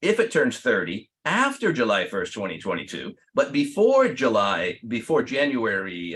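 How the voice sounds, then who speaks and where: Vocal fry runs through a voice that makes very wide pitch swings. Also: man. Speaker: attorney. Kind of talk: webinar presentation. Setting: online webinar.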